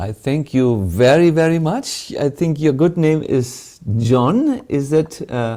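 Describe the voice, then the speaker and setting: A man at a very slow pace with fairly high pitch, lively intonation and hardly any pauses. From Germany. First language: German. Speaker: monk and spiritual teacher. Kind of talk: spiritual Q&A answer. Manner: halting, many fillers.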